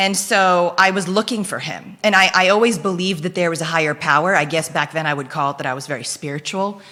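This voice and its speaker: A woman talks at a very fast pace in an animated tone with ordinary pitch variation. Background noise is noticeable. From Philippines, Belgian mother. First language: Dutch (Flemish). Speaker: guest, entrepreneur. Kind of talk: casual interview chat. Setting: studio, live show.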